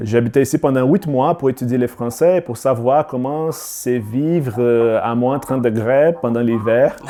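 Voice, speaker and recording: A man with a Brazilian accent speaks at a fairly slow pace, with hardly any pauses and ordinary pitch variation. Noticeable background noise runs under the recording. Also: medium pitch for a man. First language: Portuguese (speaking French). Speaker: filmmaker. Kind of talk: podcast interview. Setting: video call. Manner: halting.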